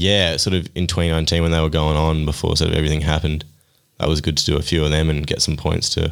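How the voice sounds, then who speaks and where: This man talks at a very fast pace in an Australian accent, his pitch very deep and low. His loudness stays very even, and his intonation is flat and monotone. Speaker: mountain bike racer. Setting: studio.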